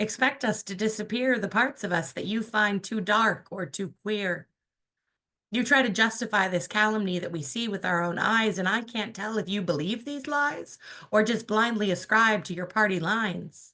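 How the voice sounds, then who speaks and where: Against a quiet background, a woman speaks with a bright, sharp tone and fairly high pitch. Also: ordinary pitch variation, moderate pace. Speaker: poet. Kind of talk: poetry reading.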